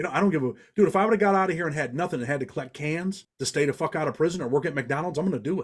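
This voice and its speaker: A man with a slight Southern US accent talks at a very fast pace with hardly any pauses, a fairly high pitch and ordinary pitch variation. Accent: slight Southern twang. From Western New York (Rochester), family from Indiana. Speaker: former prisoner, legal advocate and writer. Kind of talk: casual podcast interview. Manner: animated.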